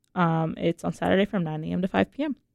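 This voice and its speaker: Dry and close with no echo, a woman talks at a fairly quick pace in a fairly low pitch. Hers is an unremarkable speaking voice. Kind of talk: radio DJ patter, station ID and song back-announcements. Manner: relaxed, friendly, upbeat, with filler 'uh' and casual asides.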